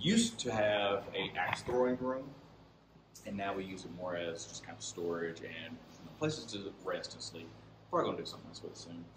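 Moderate pacing over noticeable background noise. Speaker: paranormal investigator. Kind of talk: guided tour. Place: hall. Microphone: phone near.

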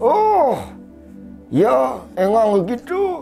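A man's put-on character voice at an extremely high pitch, with clear music in the background

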